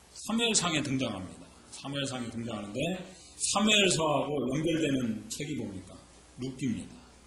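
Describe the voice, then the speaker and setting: Audible room echo and noticeable background noise surround a man at medium pitch. He talks at a fairly quick pace with very wide pitch swings. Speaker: pastor. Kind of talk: sermon. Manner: conversational, rhetorical questions.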